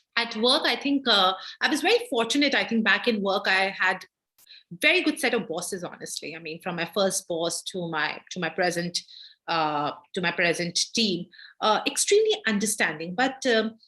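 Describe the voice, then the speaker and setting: A woman with an Indian accent speaks in a bright, sharp tone with lively intonation. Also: medium pitch for a woman, moderate pace. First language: not English (Indian language). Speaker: gender justice lawyer. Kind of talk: guest lecture Q&A. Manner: halting, many fillers.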